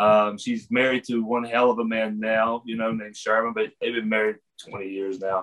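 A man talks at a moderate pace with an American accent. His pitch sits in the medium range. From West Virginia. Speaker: pro wrestler guest. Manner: animated, jokey.

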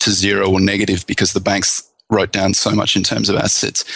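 With an Australian accent, a man speaks at a fairly low pitch in a bright, sharp tone. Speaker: investment author and researcher. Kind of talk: casual chat.

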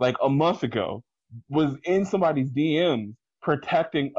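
The speaker has a normal speaking voice and an American accent. The pace is moderate, with ordinary pitch variation. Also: man, very even loudness. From Washington DC / Maryland area, US. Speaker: independent wrestling promoter. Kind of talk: casual chat.

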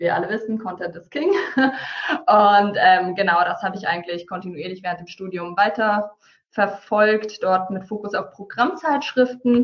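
A woman speaks in a normal speaking voice at medium pitch and a fairly slow pace. Her intonation is lively, and her loudness swings widely. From Hesse, Taunus (Germany). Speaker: marketing entrepreneur. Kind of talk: webinar presentation. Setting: online webinar.

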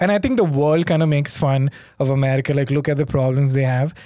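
This is a man speaking with an Indian accent. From India (Mumbai). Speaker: comedian. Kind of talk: casual chat.

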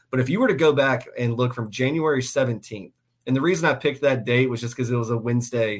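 A man with a normal speaking voice and a medium pitch talks at a fairly quick pace. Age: 30s. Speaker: sports podcast host. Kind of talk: casual sports talk show. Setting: live YouTube stream. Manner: frequent fillers and repetitions.

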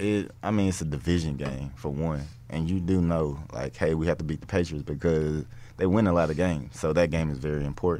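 Fairly quick male speech, very deep and low, with typical pitch movement. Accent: Southern US. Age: 20s. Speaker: NFL cornerback. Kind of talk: casual interview.

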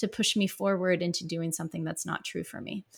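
A woman with an American accent. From US Midwest, rural Missouri. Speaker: psychotherapist. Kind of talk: interview. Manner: halting, many fillers.

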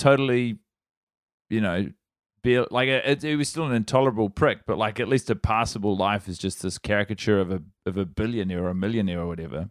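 Very fast and with lively intonation, a man with a New Zealand accent speaks on a very clean recording with a silent background and a dry, close sound with no echo. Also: fairly low pitch for a man. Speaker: comedian. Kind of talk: casual chat.

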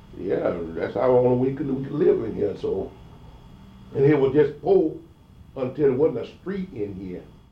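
Amid audible room echo, a man with fairly high pitch and a somewhat breathy voice speaks at a moderate pace with lively intonation and long, frequent pauses. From US South, Georgia, moved to Florida as a child. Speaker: oral history interviewee. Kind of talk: oral history interview. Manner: halting.

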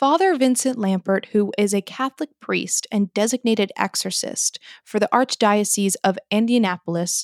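Here is an unremarkable speaking voice at a fairly slow pace. The recording is very clean with a silent background and a dry, close sound with no echo. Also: woman. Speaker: podcast co-host. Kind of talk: casual chat.

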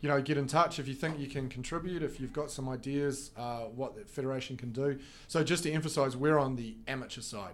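A man with a New Zealand accent talks at a fairly quick pace with hardly any pauses, his pitch fairly high and his intonation fairly even. Room echo is audible. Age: 40s. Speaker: esports federation representative. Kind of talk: casual interview. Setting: studio.

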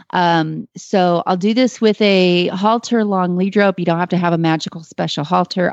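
A woman with an American accent has a normal speaking voice. Her pitch sits fairly low, with ordinary pitch variation. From Texas. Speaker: horse trainer. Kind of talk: call-in advice show.

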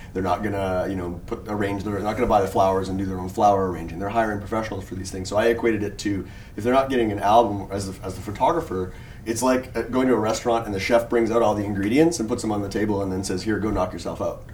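Noticeable background noise surrounds a man speaking at a very fast pace in a fairly low pitch. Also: fairly even intonation. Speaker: wedding photographer and podcast co-host. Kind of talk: casual panel discussion. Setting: hotel room at a convention, group recording.

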